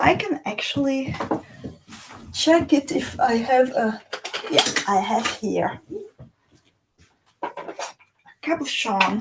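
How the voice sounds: With lively intonation and a slightly husky edge, a woman speaks at a fairly high pitch.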